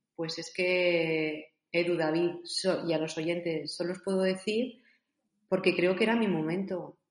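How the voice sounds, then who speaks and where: A woman speaks in a plain, everyday voice, fairly low in pitch. Her pace is fairly slow and her intonation fairly even. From Spain, Zaragoza. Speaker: author and coach. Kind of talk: interview.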